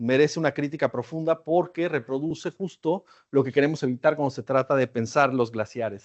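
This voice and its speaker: A man with a Mexican accent at a moderate pace, with ordinary pitch variation. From Mexico. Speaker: academic researcher. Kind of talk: lecture. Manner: conversational, with filler hesitations.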